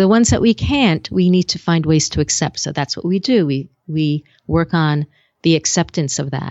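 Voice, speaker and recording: The woman speaking has a very deep, low pitch and ordinary pitch variation. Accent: American. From US Northeast. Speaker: speaking coach and TV host. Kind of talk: casual interview chat. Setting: video call.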